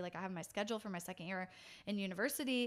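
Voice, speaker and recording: A woman with an American accent talks at a fairly quick pace at medium pitch, in an ordinary speaking voice. The recording is very clean, with a silent background. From California, US. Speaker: pastor. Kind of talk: casual interview chat.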